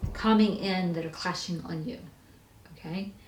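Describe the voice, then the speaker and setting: With audible room echo and noticeable background noise, a woman speaks at medium pitch with ordinary pitch variation. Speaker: tarot reader. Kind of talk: tarot reading. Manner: fast; casual.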